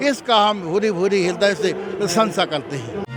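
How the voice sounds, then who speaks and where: Over music in the background, a man speaks at a high pitch with ordinary pitch variation. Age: 60s. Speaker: religious preacher. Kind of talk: interview.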